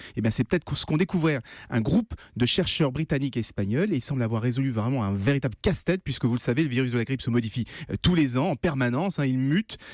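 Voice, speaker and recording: A man talks at a very fast pace with lively intonation. The sound is dry and close with no echo, and the recording is very clean, with a silent background. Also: medium pitch for a man. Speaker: radio innovation columnist. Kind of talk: radio news segment explanation. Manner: conversational, hesitant.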